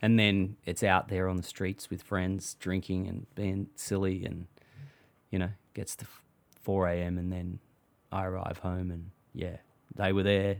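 A man with a very deep, low pitch talks in a monotone, flat way at a fairly slow pace, leaving long, frequent pauses. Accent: Australian. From Australia, Melbourne (Thornbury). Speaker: singer-songwriter. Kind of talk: casual chat. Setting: outdoors, backyard hut.

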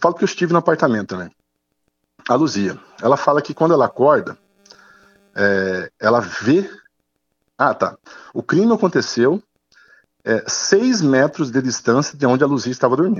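A man's fairly high voice with vocal fry, very wide pitch swings, a moderate pace, and long, frequent pauses. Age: 40s. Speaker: lawyer. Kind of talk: interview. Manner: halting.

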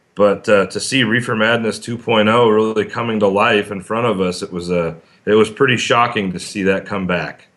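A man speaks in an unremarkable speaking voice at a moderate pace. His pitch is fairly low and his intonation fairly even. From Arizona. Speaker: city councilman. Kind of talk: interview.

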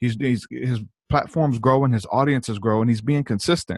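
A man with an American accent and a plain, everyday voice, medium in pitch with ordinary pitch variation, at a fairly quick pace, dry and close with no echo against a quiet background. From not from the US South. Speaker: musician and former evangelist. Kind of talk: casual interview.

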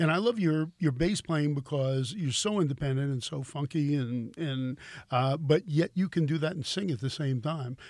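With an unremarkable speaking voice, a man talks at a moderate pace in a fairly high pitch, using ordinary pitch variation and hardly any pauses. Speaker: podcast host and guitar store owner. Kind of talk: casual interview chat. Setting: guitar store. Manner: chatty, friendly.

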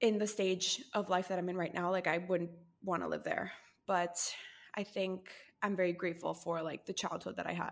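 Her medium-pitched voice carries vocal fry, and this woman's intonation stays monotone and flat. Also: moderate pace, very clean recording, silent background. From Costa Rica. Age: 20s. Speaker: podcaster and brand founder. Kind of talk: casual interview chat.

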